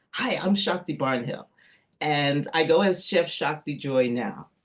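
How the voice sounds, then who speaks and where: Against a quiet background, a woman speaks at a very slow pace in a fairly low voice with very wide pitch swings. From New York City, US. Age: 60s. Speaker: chef and energy healer. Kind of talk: casual interview.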